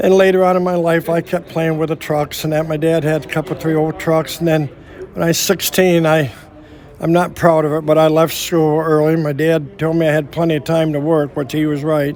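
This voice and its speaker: A man with a Midwestern American accent talks at a fairly quick pace and a fairly high pitch in monotone, flat intonation, with noticeable background noise behind him. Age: 70s. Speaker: veteran truck driver and trucking company owner. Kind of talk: interview. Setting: trucking history event. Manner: halting, repeats words.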